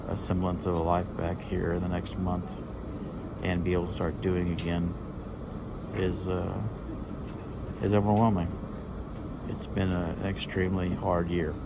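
A man speaks at a moderate pace with long, frequent pauses. Noticeable background noise runs underneath. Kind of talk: casual vlog chat. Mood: anxious, emotional, hopeful. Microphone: phone near.

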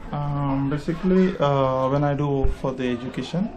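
The intonation is fairly even, with noticeable background noise throughout. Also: man. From India, Karnataka. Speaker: social activist and psychotherapist. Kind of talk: interview. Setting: outdoors in village. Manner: halting. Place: street. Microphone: phone near.

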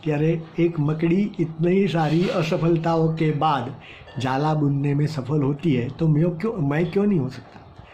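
A man talks very slowly, and light background noise can be heard. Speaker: storyteller for children. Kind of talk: storytelling to children. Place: home room. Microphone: phone near.

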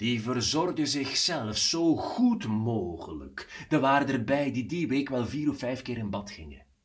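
The voice heard here is a natural reading voice.

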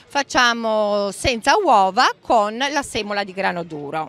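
Her pace is very slow. The speaker is a woman. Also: dry sound with no echo. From Emilia-Romagna, Romagna. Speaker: home cook running a social fresh-pasta project; pasta stall vendor. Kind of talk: interview at a fair. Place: market. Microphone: handheld.

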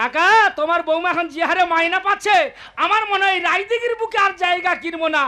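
Doing a put-on character voice, a man speaks at an extremely high pitch with a bright, sharp tone. He goes at a fast pace with ordinary pitch variation.

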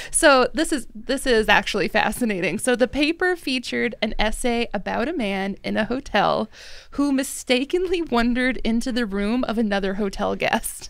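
In a dry sound with no echo and a quiet background, a woman with a fairly high pitch and lively intonation talks at a moderate pace with hardly any pauses. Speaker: podcast host, drinks industry director. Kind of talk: casual chat. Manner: animated. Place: studio. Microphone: studio mic.

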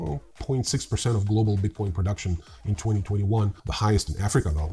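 Dark and mellow, a man's fairly low voice moves at a fairly quick pace. His intonation is lively.

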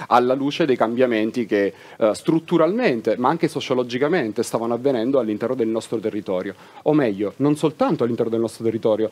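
A man speaks with ordinary variation in his pitch. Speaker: guest. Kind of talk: interview answer. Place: stage.

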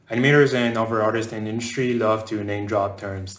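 Audible room echo surrounds speech at a moderate pace with fairly even intonation. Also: man. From France, raised partly in southern North America. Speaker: game animator. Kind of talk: conference talk. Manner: hesitant fillers. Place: home room.

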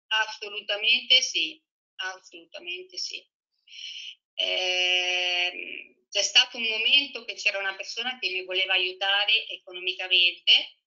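A woman speaks at a fairly slow pace against a quiet background, with ordinary pitch variation and big swings in loudness. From Italy. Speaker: former professional tennis player. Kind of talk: casual interview. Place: home room. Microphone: video call.

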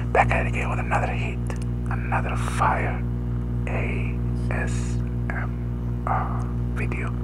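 A man speaks at a fairly slow pace, with long, frequent pauses, over loud background noise. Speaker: ASMR creator. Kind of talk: ASMR tapping video talk to camera. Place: home room. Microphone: headset.

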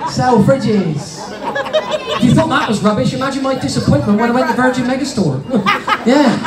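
A man talks with long, frequent pauses. Loud background noise fills the recording. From Cornwall. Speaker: stand-up comedian. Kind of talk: stand-up comedy routine for a family audience. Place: stage.

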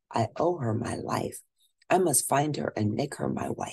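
Lively intonation in plain reading aloud, set against a quiet background

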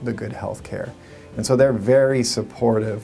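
With faint music behind him, a man talks in a fairly even intonation. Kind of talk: interview answer. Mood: calm, earnest. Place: office.

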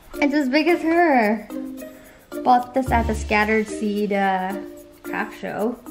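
A woman speaks with clear music in the background. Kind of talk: casual vlog chat. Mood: happy, tender, laughing. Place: home room. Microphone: camera far.

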